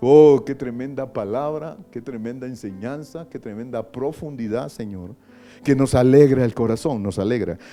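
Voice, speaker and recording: A man with a dark, mellow tone speaks at a moderate pace, his loudness swinging widely. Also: medium pitch for a man, ordinary pitch variation. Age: 60s. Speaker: pastor. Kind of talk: prayer.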